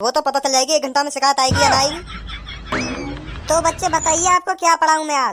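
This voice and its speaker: A woman's gruff, put-on character voice at a very fast pace. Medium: cartoon. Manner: gruff, repetitive threats.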